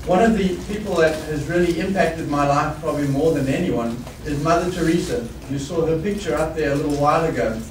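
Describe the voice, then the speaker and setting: Over noticeable background noise and audible room echo, a man talks at a very fast pace in a fairly high pitch with ordinary pitch variation. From South Africa. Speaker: business executive. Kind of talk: keynote speech.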